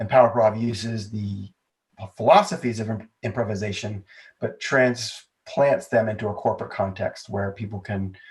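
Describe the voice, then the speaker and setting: A somewhat breathy man with fairly even intonation. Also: medium pitch for a man, moderate pace. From United States, moved around (West, East, South). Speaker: entrepreneur and improv comedy business founder. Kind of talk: podcast interview.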